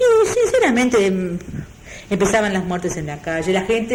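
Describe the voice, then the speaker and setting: With a Uruguayan accent, a woman talks at a fairly slow pace amid noticeable background noise and audible room echo. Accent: Rioplatense Spanish (Uruguayan). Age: 60s. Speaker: retired textile worker and union member. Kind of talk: oral history interview. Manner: halting.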